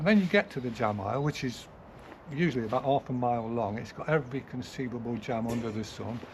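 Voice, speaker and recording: In an English accent, a man speaks at a very fast pace with ordinary pitch variation. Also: medium pitch for a man. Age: 70s. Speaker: gardener. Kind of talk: casual interview. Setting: outdoors in a garden.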